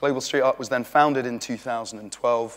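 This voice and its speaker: A man talks at a fairly quick pace in a British accent. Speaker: street art organiser giving a talk. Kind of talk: conference talk. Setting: stage with audience. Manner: fast; animated.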